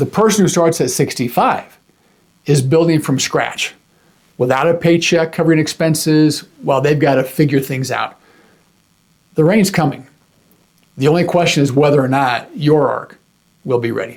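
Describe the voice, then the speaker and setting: Pausing long and often, a man with a fairly high pitch talks at a moderate pace with ordinary pitch variation. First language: American Sign Language. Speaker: YouTube finance educator. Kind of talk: instructional talk to camera. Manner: conversational, informal.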